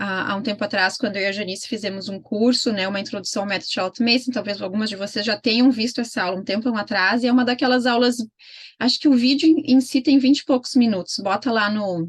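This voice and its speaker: A woman's somewhat breathy voice, fairly high in pitch with ordinary pitch variation, at a very fast pace. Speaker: homeschooling mentor. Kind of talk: online mentoring session.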